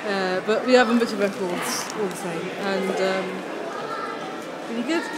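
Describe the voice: A woman speaks with ordinary pitch variation. Clear crowd noise and clear background noise sit behind her. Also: medium pitch for a woman, moderate pace.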